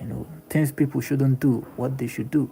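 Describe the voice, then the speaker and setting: A man with a Nigerian accent speaks at a medium pitch with fairly even intonation. Noticeable background noise runs through the clip. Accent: Nigerian English (Igbo). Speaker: livestreamer / content creator. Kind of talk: casual live-stream monologue. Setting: live stream. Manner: halting, repetitive.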